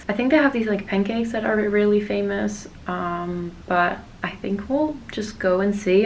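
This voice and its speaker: A woman at a medium pitch speaks with ordinary pitch variation while noticeable background noise plays. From Netherlands. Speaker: fashion model. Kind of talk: casual vlog talk to camera.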